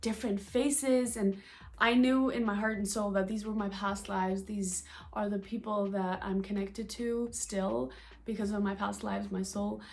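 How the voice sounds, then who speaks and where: A woman's somewhat breathy, medium-pitched voice at a moderate pace. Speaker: spiritual vlogger and coach. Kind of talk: casual monologue vlog. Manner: animated; halting, stuttering.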